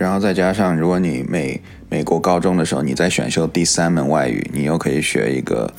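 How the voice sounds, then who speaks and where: A man's very deep, low voice at a fairly quick pace, with ordinary pitch variation and very even loudness, plus audible room echo and music in the background. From Chinese-speaking, moved to US in 3rd grade. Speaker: podcast co-host. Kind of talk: casual chat.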